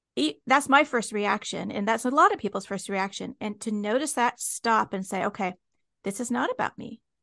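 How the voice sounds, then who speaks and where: A woman with an American accent uses a plain, everyday voice at a fairly high pitch with ordinary pitch variation, in a dry, close sound with no echo. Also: moderate pace, quiet background. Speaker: podcast host. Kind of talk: interview. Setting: video call.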